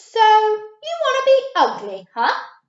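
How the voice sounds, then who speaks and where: Speaking at a fairly slow pace, a woman uses a put-on character voice. It is squeaky and extremely high in pitch. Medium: read story.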